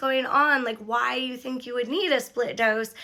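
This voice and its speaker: A woman projects a raised, high voice with a bright, sharp tone. The recording is very clean, with a silent background. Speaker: vlogger sharing recovery experience. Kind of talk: casual vlog monologue. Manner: chatty, filler-heavy.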